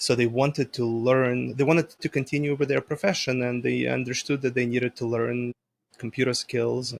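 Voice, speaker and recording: At a moderate pace, a man with a medium pitch talks in a dry, close sound with no echo. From former Soviet Union, moved to US at 13. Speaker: IT company owner. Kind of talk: interview. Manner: casual, animated.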